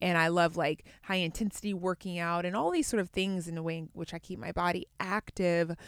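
An ordinary speaking voice from a woman, fairly low in pitch, at a fairly quick pace with fairly even intonation, in a dry, close sound with no echo and a very clean recording over a silent background. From US, Atlanta (born in Baltimore). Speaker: yoga teacher and entrepreneur. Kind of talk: casual chat.

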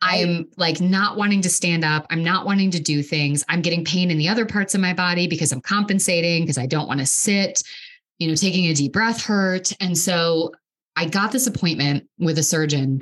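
With an ordinary speaking voice pitched fairly low, a woman talks at a fairly quick pace, using ordinary pitch variation and very even loudness. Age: 30s. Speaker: podcast host, mental health clinician. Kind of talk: casual interview conversation.

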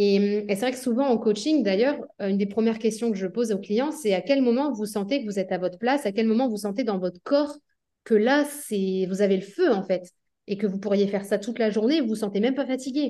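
A woman with a fairly high, dark, mellow voice speaks at a fairly quick pace with ordinary pitch variation. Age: 30s. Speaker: entrepreneur running three companies. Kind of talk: interview conversation.

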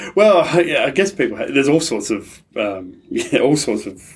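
Here a man talks with an Australian accent. He keeps a moderate pace. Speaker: pastor and aid charity relationship manager. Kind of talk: interview conversation.

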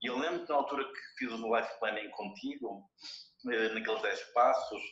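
A man talks with a European Portuguese accent at a moderate pace. Audible room echo surrounds his voice. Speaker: motivational speaker. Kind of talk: casual chat.

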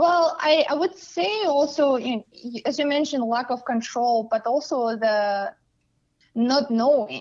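Speaking at a fairly slow pace, a woman with a Russian accent uses a high pitch and lively intonation. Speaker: coach. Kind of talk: casual interview.

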